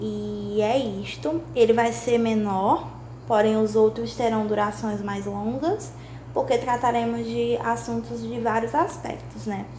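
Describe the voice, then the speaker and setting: Very slow and very deep for a woman, her voice swings very widely in pitch, with audible room echo and noticeable background noise. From Brazil, Maranhão. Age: 20s. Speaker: podcast host, law student. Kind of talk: casual monologue.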